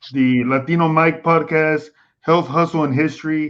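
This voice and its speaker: A man with an American accent speaks at a moderate pace in a monotone, flat intonation. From Texas. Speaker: live stream host. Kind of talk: casual chat on live stream. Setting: live stream.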